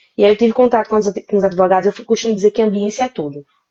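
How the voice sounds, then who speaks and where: A woman with a Recife accent talks at a very fast pace. Her tone is dark and mellow. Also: dry, close sound with no echo. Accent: Pernambuco (Recife). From Brazil, interior of Pernambuco. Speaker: lawyer. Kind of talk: live interview.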